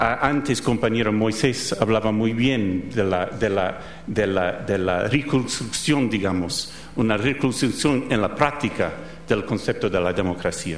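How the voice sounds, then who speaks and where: A man with an American accent speaks at a fairly slow pace and a fairly low pitch with ordinary pitch variation and very even loudness. Noticeable background noise and audible room echo are present. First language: English (speaking Spanish). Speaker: professor. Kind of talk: lecture. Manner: halting.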